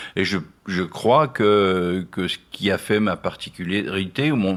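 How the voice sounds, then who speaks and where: A man's fairly low-pitched voice comes through on a very clean recording with a silent background. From Nancy, France. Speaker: singer-songwriter, painter, poet. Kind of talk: radio interview answer. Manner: hesitant, reflective.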